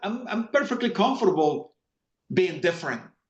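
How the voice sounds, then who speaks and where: In a Spanish accent, a man talks at a fairly quick pace with very wide pitch swings. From Latin America. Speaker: finance executive. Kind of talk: interview conversation. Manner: hesitant, many fillers and repetitions.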